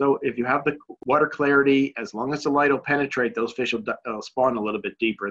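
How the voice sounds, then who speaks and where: A man with an American accent talks at a very fast pace and medium pitch. The sound is dry and close, with no echo. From US Northeast, Connecticut. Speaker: bass fishing pro. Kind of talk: webinar presentation. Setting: online webinar.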